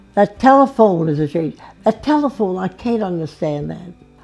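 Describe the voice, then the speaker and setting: Music plays in the background as the speaker talks at a fairly slow pace with very wide pitch swings. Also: woman. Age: 80s+. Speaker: elderly interviewee. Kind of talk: interview. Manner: halting.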